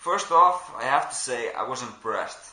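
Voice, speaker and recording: A man speaks with a Belgian accent. Audible room echo and noticeable background noise surround his voice. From Belgium. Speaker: airsoft player and reviewer. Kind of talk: product review. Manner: casual, with frequent fillers.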